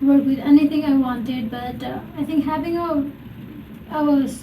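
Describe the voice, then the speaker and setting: Amid audible room echo and noticeable background noise, a woman with a high pitch speaks in a flat monotone at a moderate pace. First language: not English. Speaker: podcast host. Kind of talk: casual interview chat.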